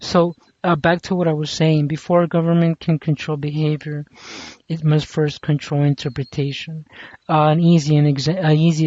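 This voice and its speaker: At a moderate pace, this speaker talks with a non-native accent. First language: not English. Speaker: commentary vlogger. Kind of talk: casual monologue commentary. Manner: halting, many fillers and restarts.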